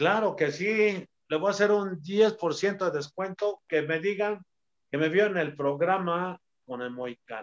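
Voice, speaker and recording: A man speaks in a high pitch at a fairly slow pace with ordinary pitch variation. The sound is dry and close with no echo. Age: 60s. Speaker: retired professional wrestler. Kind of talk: casual interview.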